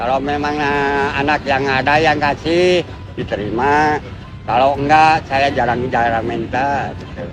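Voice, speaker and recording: A man with a fairly high pitch speaks at a fairly slow pace and with fairly even intonation, while music plays in the background and room echo can be heard. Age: old. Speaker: pedicab driver. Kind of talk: interview. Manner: halting.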